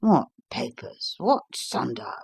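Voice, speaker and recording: A raspy, put-on character voice from a man, with dry, close sound and no echo. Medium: read story. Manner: blustering, dismissive.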